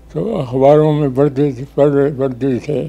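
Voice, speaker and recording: Intonation remains fairly even. The tone sounds dark and mellow. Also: man. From Pakistan. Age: 80s+. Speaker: retired civil servant and politician. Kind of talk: interview answer. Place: home room. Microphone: lapel.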